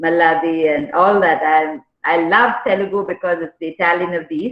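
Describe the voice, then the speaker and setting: A woman speaks with a Tamil accent at a moderate pace, her pitch fairly low and its variation ordinary. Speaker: motivational speaker and corporate trainer. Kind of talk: workshop talk.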